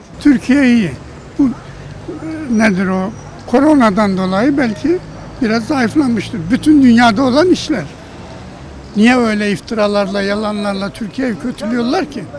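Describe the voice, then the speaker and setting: Against noticeable background noise, a man with a high pitch speaks fairly slowly with lively intonation and long, frequent pauses. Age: 80s+. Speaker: retiree interviewed in street poll. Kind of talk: street interview. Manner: animated.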